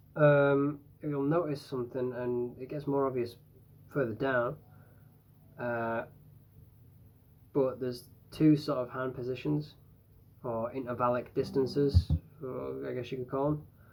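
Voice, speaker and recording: Speaking at a fairly slow pace, a man leaves long, frequent pauses, and his pitch varies an ordinary amount. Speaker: guitar teacher. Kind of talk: tutorial. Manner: hesitant, many fillers. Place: home room. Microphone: phone near.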